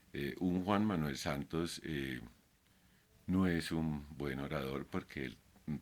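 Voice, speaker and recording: A man's very deep, low voice with ordinary pitch variation and vocal fry. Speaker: YouTuber, artist. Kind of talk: casual vlog monologue. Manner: halting, many fillers; not a fluent speaker.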